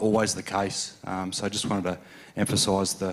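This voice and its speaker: With an Australian accent, a man speaks at a fairly low pitch and fairly even intonation. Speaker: conference audience member. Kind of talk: audience question at conference. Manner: halting, many fillers and repetitions.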